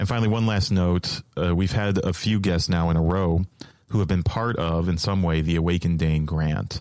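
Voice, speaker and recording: A man's very deep, low voice at a moderate pace, with fairly even intonation and very even loudness. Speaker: podcast host. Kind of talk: scripted intro and host narration.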